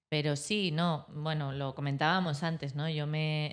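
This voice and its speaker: This woman's pitch is very deep and low. She speaks at a fairly slow pace with fairly even intonation. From Spain, Madrid. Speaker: architect. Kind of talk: interview.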